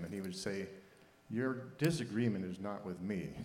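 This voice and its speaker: A man uses a plain, everyday voice and keeps a moderate pace. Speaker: audience member. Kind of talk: audience question.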